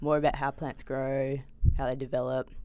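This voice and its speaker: A woman with an Australian accent talks at a very fast pace in a very deep, low voice, her intonation monotone and flat. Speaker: PhD student in biochemistry. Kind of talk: casual interview. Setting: studio.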